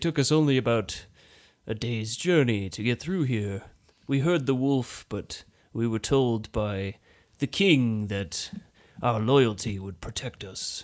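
A man does a put-on character voice at medium pitch. He goes at a fairly slow pace in a very clean recording with a silent background. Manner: nervous, earnest.

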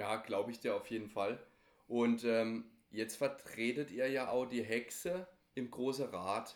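At a fairly slow pace and medium pitch, a man speaks with ordinary pitch variation in a plain, everyday voice. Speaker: podcast host. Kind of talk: interview.

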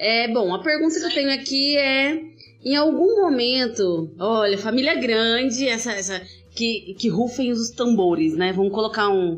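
In a room with audible echo, a woman talks at a moderate pace with a fairly high pitch and lively intonation. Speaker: podcast host. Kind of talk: casual interview chat. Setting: remote recording during pandemic. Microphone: poor audio quality, heavily edited.

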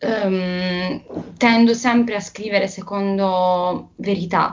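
Somewhat breathy, a woman speaks in a medium pitch with fairly even intonation. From southern Italy, Bari. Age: 20s. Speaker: singer-songwriter and law student. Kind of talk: interview.

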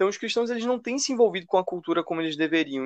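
A man's voice comes across dry and close, without any echo. His intonation is lively. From Brazil, Recife (Pernambuco). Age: 20s. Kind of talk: casual chat, explanatory.

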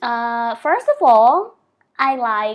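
Captured in a very clean recording with a silent background, a woman speaks with a Vietnamese accent. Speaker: sex educator and dance instructor. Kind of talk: interview. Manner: halting.

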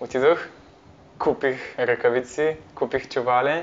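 Here a man talks with a medium pitch. The intonation is fairly even. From Bulgaria, Parvomay (Plovdiv region). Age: 20s. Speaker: university student, volunteer. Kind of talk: interview. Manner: halting.

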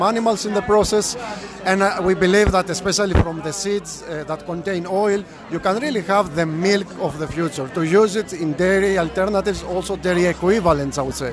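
Over noticeable background noise, a man with a Greek accent talks in a high pitch. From Greece. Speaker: food scientist and startup founder. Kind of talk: interview. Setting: event venue.

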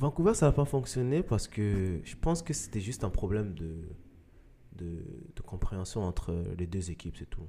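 A man at fairly low pitch speaks in a dark, mellow tone at a moderate pace, with very wide pitch swings, big swings in loudness, and long, frequent pauses. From Mali, then Quebec. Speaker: professional soccer player. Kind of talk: interview.

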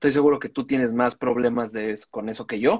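At a fairly quick pace, a man talks with a medium pitch and a monotone, flat intonation in a dry, close sound with no echo. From Mexico City, Cuajimalpa. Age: 40s. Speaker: comedian podcast co-host. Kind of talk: casual chat.

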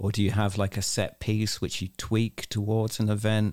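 A man with a fairly low pitch and a dark, mellow tone is heard on a very clean recording against a silent background. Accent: English. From England. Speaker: podcast host. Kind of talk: interview.

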